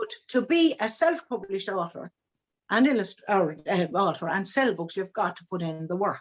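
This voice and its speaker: A woman with an Irish accent speaks with very wide pitch swings. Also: medium pitch for a woman, moderate pace. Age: 70s. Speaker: children's book author. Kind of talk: interview. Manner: halting.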